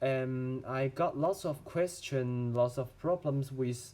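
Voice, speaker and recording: A man's dark, mellow tone with a Chinese accent. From China. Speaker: medical student. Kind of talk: tutorial. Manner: halting.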